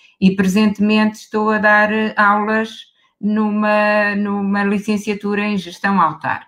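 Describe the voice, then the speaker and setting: In a European Portuguese accent, a woman talks at a very slow pace. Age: 60s. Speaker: professor. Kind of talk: panel discussion.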